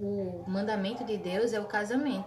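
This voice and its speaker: Audible room echo and noticeable background noise surround the voice. The woman talks at a fairly high pitch. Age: 20s. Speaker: nursing student. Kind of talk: casual chat.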